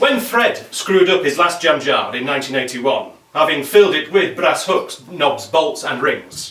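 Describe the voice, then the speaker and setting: Over noticeable background noise, a man talks at a high pitch with lively intonation. He keeps a moderate pace with hardly any pauses. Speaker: poet. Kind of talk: poetry reading.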